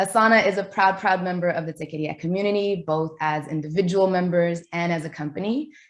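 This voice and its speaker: A woman with an American accent uses an ordinary speaking voice at medium pitch with ordinary pitch variation against a quiet background. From New York. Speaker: event host. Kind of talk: webinar introduction. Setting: video call.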